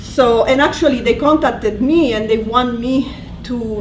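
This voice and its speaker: With audible room echo and noticeable background noise, a woman speaks in fairly even intonation. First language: Italian. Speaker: language instructor. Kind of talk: presentation. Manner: halting.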